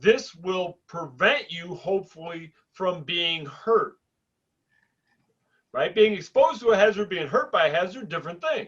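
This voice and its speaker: Speaking loudly at a moderate pace, a man with a high-pitched voice and ordinary pitch variation leaves long, frequent pauses. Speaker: podcast co-host, drilling safety professional. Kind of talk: casual chat.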